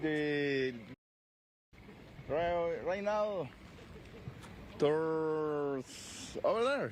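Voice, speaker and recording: Very slow speech in a Spanish accent, with long, frequent pauses. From Venezuela. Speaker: flood evacuee. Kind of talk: street interview. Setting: outdoors in flooded street. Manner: halting.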